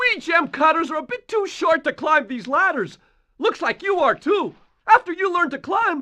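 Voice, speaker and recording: The pitch is extremely high in this put-on character voice. Its pace is moderate. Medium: video game. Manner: friendly.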